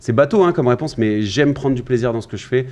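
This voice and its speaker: A man talks in a plain, everyday voice at medium pitch with ordinary pitch variation. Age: 20s. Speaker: sales coach. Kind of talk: podcast interview.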